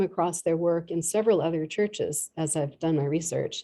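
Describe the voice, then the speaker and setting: A dark, mellow tone in an American accent, fairly quick, with ordinary pitch variation. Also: woman. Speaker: art historian giving a public talk. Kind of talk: lecture. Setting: church hall with live audience and Zoom.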